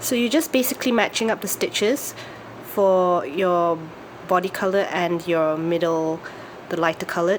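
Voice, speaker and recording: A woman's normal speaking voice at a medium pitch and moderate pace, with very even loudness and ordinary pitch variation. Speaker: craft tutorial maker. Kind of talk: tutorial.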